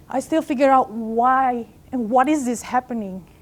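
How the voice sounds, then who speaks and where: Her voice sits fairly high. The woman keeps a moderate pace. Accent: non-native. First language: not English. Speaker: life coach. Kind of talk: motivational talk. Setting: stage with audience.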